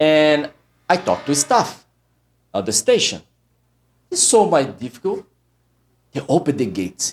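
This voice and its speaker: On a very clean recording with a silent background, a man with vocal fry makes very wide pitch swings and takes long, frequent pauses. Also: fairly high pitch for a man, moderate pace. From Brazil. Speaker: immigration lawyer. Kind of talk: personal story monologue. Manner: halting.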